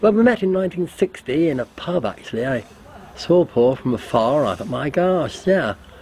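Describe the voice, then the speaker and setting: With very wide pitch swings, a man speaks at a moderate pace in a fairly high voice amid noticeable background noise. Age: 70s. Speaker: retired hotelier, interviewee. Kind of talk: interview testimony.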